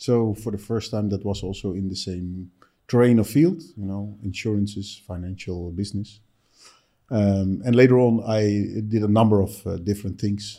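This man talks with a Dutch accent at a fairly low pitch. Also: fairly even intonation, moderate pace. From Netherlands. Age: 50s. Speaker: entrepreneur. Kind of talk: interview. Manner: halting.

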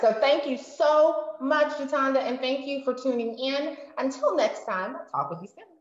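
Speaking at a fairly slow pace, a woman with a high pitch sounds animated and enthusiastic, with ordinary pitch variation. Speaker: video host. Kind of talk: casual interview chat. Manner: animated, enthusiastic.

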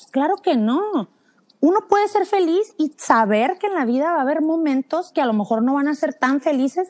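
In a Mexican accent, a woman talks fairly quickly at a high pitch with very wide pitch swings, the sound dry and close with no echo. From Mexico, San Luis Potosí. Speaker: parenting blogger and podcaster. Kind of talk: casual chat.

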